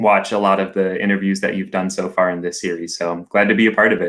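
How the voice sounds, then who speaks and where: Fairly low pitch from a man talking at a fairly quick pace. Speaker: camp operations coordinator. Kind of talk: interview. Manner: loud.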